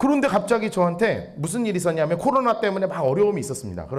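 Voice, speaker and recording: A high-pitched man talking very fast with lively intonation over noticeable background noise. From Seoul, South Korea. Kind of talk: plain, standard speech with no regional dialect.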